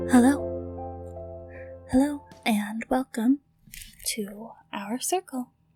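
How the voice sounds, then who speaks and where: Speech at a very slow pace with long, frequent pauses and ordinary pitch variation, set over background music in a dry, close sound with no echo. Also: woman, high pitch for a woman. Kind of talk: ASMR ritual roleplay. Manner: soft-spoken, whispered.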